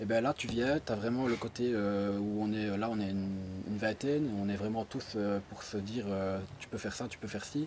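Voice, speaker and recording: A man's fairly low voice with ordinary pitch variation, over noticeable background noise. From Belgium, Liège. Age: 20s. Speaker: e-commerce student, postal worker. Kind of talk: testimonial interview. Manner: hesitant, many fillers.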